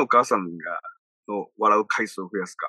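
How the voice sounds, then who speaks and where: The sound is dry and close, without echo. A man talks at a fairly quick pace. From Okinawa, Japan. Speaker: radio personality and business producer. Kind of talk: casual interview.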